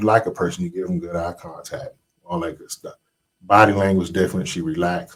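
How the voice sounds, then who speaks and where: A man with a fairly low pitch talks at a fairly quick pace, his voice swinging very widely in pitch. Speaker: podcast guest. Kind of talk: casual chat. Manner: calm, not loud.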